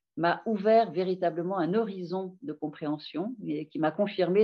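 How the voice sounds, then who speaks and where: A woman's fairly low voice at a moderate pace, its pitch varying in an ordinary way. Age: 60s. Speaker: doctor and author. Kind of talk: interview. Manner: hesitant, many filler sounds.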